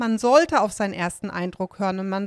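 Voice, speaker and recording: A woman talks fairly quickly in a normal speaking voice with ordinary pitch variation. The sound is dry and close, without echo. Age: 30s. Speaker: survivor of domestic abuse. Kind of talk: interview about personal experience. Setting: studio.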